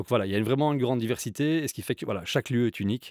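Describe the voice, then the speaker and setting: This man talks at a very fast pace with a medium pitch. The recording is very clean, with a silent background and a dry, close sound with no echo. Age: 40s. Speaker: coworking company co-founder. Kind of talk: interview.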